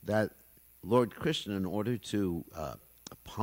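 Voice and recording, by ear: The speaker is reading aloud in a natural voice, and the pitch shifts in an ordinary way.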